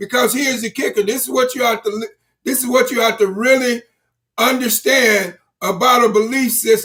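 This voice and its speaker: The voice is raised and projected, bright and sharp in tone, and moves at a fairly quick pace. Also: man, extremely high pitch for a man. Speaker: motivational speaker. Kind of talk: motivational livestream talk. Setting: live stream. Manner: halting with repetitions.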